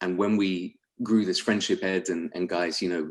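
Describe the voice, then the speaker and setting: With a London accent, a man speaks at a fairly quick pace in a very deep, low voice with monotone, flat intonation. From London, England. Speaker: sales executive. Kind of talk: webinar presentation.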